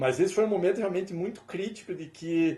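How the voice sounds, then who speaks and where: A man talking at a fairly quick pace. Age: 50s. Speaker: musician and professor. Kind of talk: interview.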